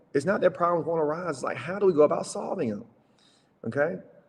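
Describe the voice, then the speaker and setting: A fairly high-pitched man at a very fast pace. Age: 30s. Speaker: entrepreneur, summit speaker. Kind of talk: business talk presentation. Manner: casual, conversational.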